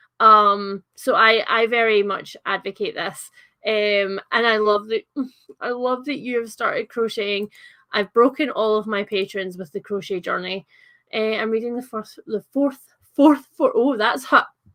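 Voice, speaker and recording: In a Scottish accent, a woman talks at a fairly slow pace with fairly even intonation. Her fairly high voice has a bright, sharp tone, and the sound is dry and close with no echo. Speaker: livestreamer chatting about books. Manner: casual, chatty, uses fillers.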